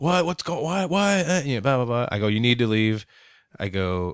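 Recorded very cleanly against a silent background, a man with an ordinary speaking voice talks at a fairly quick pace. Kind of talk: casual chat.

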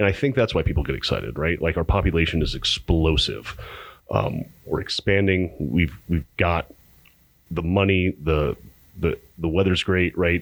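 A man with an American accent, very deep and low in pitch, with vocal fry, ordinary pitch variation and a moderate pace, on a very clean recording with a silent background. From Arizona, Pinetop-Lakeside. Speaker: brewery sales director. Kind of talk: casual chat. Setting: studio.

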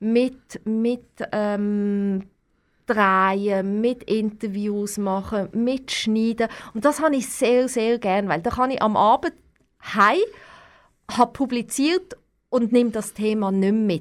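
A woman's fairly high voice at a very slow pace, with ordinary pitch variation, long, frequent pauses and a very clean recording with a silent background. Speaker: TV correspondent. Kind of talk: interview. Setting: studio, wearing face mask.

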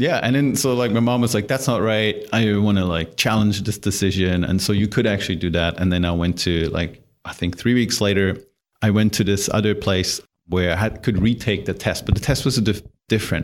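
A very clean recording with a silent background captures a man with a German accent talking at a fairly quick pace, fairly low in pitch with ordinary pitch variation. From Germany. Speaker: startup founder and CEO. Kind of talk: interview.

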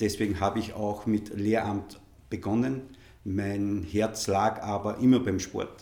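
Monotone, flat intonation, a dark, mellow tone and a very slow pace. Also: man, fairly low pitch for a man. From Upper Austria, Innviertel. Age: 50s. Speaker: football association executive. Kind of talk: interview.

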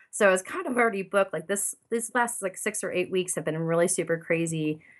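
Behind this woman, the background is quiet. She talks at a very fast pace. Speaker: painter. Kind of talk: casual interview chat. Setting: recording from home studio.

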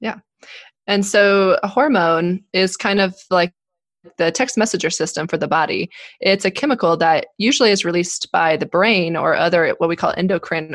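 A woman with an ordinary speaking voice and an American accent talks at a medium pitch and moderate pace with ordinary pitch variation, in a dry, close sound with no echo and a quiet background. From Colorado, US. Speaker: obstetrician-gynecologist. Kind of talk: podcast interview, medical explanation.

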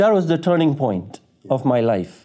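A man's dark, mellow voice at a fairly quick pace. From Tanzania, East Africa. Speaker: chaplain and caseworker. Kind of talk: testimony.

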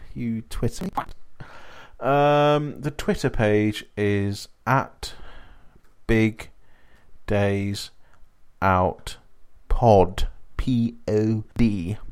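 Very slowly and with long, frequent pauses, a man speaks in an English accent at medium pitch with ordinary pitch variation. The recording is very clean, with a silent background. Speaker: podcast host. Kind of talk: tour-guide style spoken review, chatty solo podcast monologue. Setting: solo recording.

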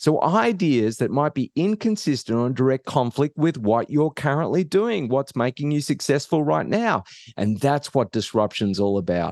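A man with a fairly high pitch swings very widely in pitch at a moderate pace, with hardly any pauses and very even loudness. The sound is dry and close with no echo, over a quiet background. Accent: Australian. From Australia. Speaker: professor of innovation and author. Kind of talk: interview conversation.

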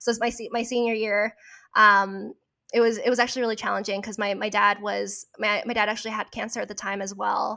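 A woman speaks in a Californian accent. Her tone is bright and sharp, her intonation monotone and flat. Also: fairly high pitch for a woman, fairly quick pace. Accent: Californian American. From Orange County, California. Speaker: guest. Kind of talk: casual chat.

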